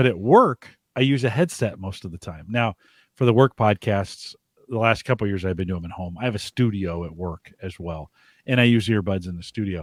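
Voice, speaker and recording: Over a very clean, silent background, a man talks at a fairly quick pace and a fairly low pitch, with ordinary pitch variation and big swings in loudness, recorded dry and close with no echo. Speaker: podcast host. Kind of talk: casual chat. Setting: live-streamed show with chat room.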